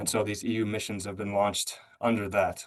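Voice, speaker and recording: Here a man speaks with an American accent at a fairly low pitch. His pace is fairly quick. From United States. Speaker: policy speaker at a webinar. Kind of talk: webinar presentation. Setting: online webinar. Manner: halting, many fillers and restarts.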